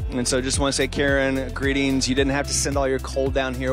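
Clear music plays behind a man whose voice has a dry sound with no echo. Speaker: associate pastor, online host. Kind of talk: warm host welcome and reading of viewer comments. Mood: warm, cheerful, smiling. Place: hall. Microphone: handheld.

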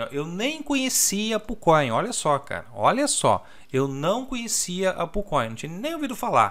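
A man's pitch swings very widely as he speaks fairly slowly. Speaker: crypto trading youtuber. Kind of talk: tutorial. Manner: casual, filler-heavy. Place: home room. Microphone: new desk microphone.

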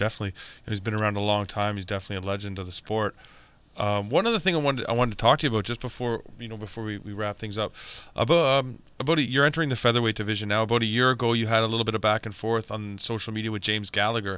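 With a bright, sharp tone and a fairly low pitch, a man talks at a very fast pace with ordinary pitch variation in a dry sound with no echo. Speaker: MMA podcast host. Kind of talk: casual interview. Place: studio. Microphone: studio mic.

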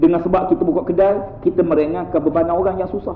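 A high-pitched man talks very fast with lively intonation. Audible room echo and light background noise are present. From Malaysia. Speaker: Islamic preacher. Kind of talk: religious lecture. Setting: mosque. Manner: animated. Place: church. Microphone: lapel.

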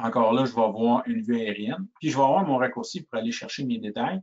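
At a moderate pace, a man with a medium pitch talks with ordinary pitch variation. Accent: strong rural Quebec. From Quebec (Shawinigan). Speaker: sales engineer. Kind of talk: webinar product demo. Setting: online webinar. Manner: halting, frequent repetitions and fillers.

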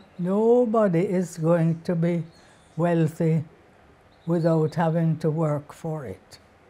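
Delivered at a very slow pace, the voice has a dark, mellow tone. Its intonation stays fairly even, broken by long, frequent pauses. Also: woman, fairly low pitch for a woman. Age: 80s+. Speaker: author, librarian, lecturer. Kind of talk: interview answer. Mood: calm, reflective. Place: home room. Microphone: lapel.

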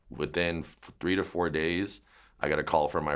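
Over a quiet background, a man with vocal fry speaks in fairly even intonation. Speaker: dog trainer. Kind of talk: interview answer. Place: shop.

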